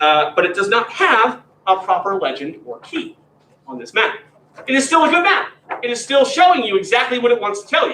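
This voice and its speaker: A man with an American accent talks at a fairly quick pace in a raised, projected voice at an extremely high pitch, with very wide pitch swings and big jumps in loudness. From Pennsylvania. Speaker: graduate teaching assistant. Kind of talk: lecture. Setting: classroom, also streamed. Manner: informal, conversational.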